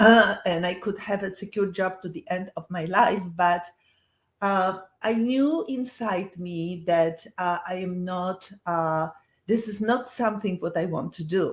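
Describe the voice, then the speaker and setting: Speaking in a Polish accent, a woman has a medium pitch and ordinary pitch variation. Her voice is somewhat breathy, and her pace is fairly slow. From Poland. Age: 70s. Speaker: health entrepreneur, former professor. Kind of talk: webinar presentation. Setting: online webinar. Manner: halting, many fillers.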